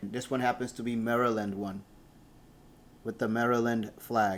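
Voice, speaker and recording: Flat, monotone speech from a man at medium pitch, with noticeable background noise. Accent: Spanish. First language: Spanish. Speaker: airline worker and model collector. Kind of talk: unboxing video, casual talk.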